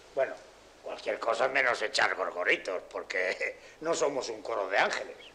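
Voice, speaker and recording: Light noise is audible in the background. A man talks at a medium speed. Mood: teasing, persuasive. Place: street.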